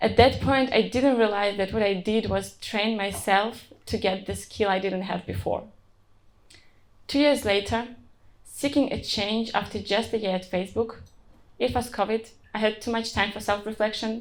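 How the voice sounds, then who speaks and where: With a non-native accent and some vocal fry, a woman speaks at a moderate pace in a fairly high pitch with fairly even intonation. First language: not English. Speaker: software engineer. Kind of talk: conference talk.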